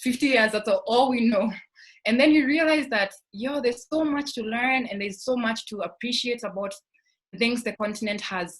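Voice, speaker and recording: A woman with a Kenyan accent speaks at a moderate pace, her fairly high pitch moving with ordinary variation. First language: Kikuyu. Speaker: scholarship alumna panelist. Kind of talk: panel discussion.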